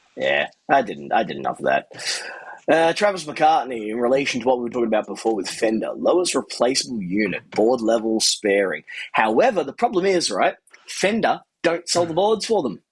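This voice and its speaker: The speaker is a man with an Australian accent. He talks fairly quickly. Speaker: amp repair technician and channel host. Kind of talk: casual chat. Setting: live stream.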